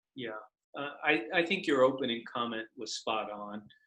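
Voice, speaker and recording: At a fairly slow pace, a man speaks in a bright, sharp tone at a medium pitch with fairly even intonation. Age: 60s. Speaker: lawyer and political candidate. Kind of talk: interview. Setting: video call.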